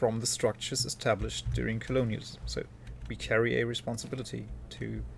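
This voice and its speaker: A man with a German accent at a fairly quick pace. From Germany. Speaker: video game streamer. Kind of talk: live stream commentary, casual chat with viewers.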